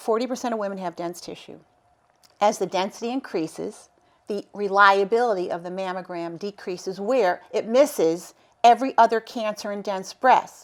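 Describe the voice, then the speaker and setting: A woman uses a normal speaking voice at medium pitch, with ordinary pitch variation and a moderate pace. Her loudness swings widely on a very clean recording with a silent background. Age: 60s. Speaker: cancer survivor and advocate. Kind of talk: interview.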